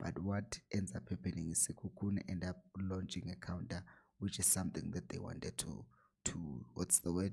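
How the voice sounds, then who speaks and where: Quietly and at a moderate pace, a man with a very deep, low pitch and a dark, mellow tone speaks with lively intonation and vocal fry. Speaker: football analyst YouTuber. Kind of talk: tactical match analysis. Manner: low, quiet voice.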